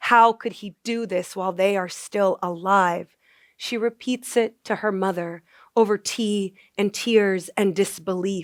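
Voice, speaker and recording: In a very clean recording with a silent background and a dry, close sound with no echo, a woman with an unremarkable speaking voice talks at a fairly slow pace, medium in pitch, with fairly even intonation. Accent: American. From US, Maryland suburbs of DC. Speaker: poet. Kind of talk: poetry reading.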